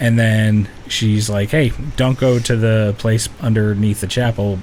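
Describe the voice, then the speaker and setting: At a fairly slow pace, the words come through noticeable background noise. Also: man. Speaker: video game podcast co-host. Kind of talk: casual chat. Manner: halting.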